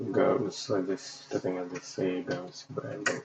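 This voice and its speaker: A man speaks with a non-native accent. His pitch is very deep and low. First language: not English. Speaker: UX designer livestreamer. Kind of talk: casual livestream while working. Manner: halting, many fillers.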